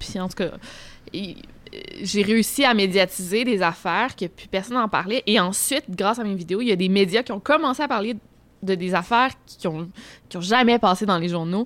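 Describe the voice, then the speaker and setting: Delivered at a moderate pace with ordinary pitch variation, an ordinary speaking voice comes through on a very clean recording with a silent background. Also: woman, medium pitch for a woman. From Quebec City. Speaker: youtuber on unsolved crimes. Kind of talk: casual chat. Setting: restaurant.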